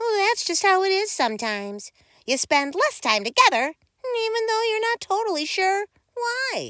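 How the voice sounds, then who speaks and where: A squeaky voice moves at a moderate pace with very wide pitch swings, the sound dry and close with no echo. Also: woman, extremely high pitch for a woman. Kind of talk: bedtime story. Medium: read story. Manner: gentle, expressive read-aloud.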